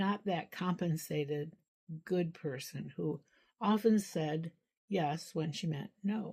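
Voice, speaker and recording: Somewhat breathy and dark, mellow in tone, a woman speaks at a very slow pace with ordinary pitch variation. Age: 80s+. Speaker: social worker. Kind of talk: personal recollection monologue. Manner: halting, with repetitions.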